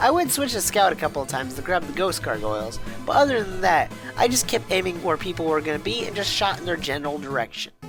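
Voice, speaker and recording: Background music is present. The talking runs at a fairly quick clip. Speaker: gaming YouTuber. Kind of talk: gaming video narration.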